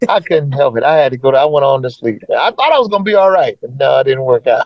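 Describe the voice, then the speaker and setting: A man's fairly high voice in an American accent, very fast, with lively intonation. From US Midwest (Omaha, Nebraska). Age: 70s. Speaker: musician. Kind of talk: interview.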